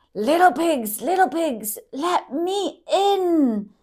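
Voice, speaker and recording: In a put-on character voice, someone bellows loudly at a very slow pace, squeaky and high in pitch. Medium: read story. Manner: loud, bellowing.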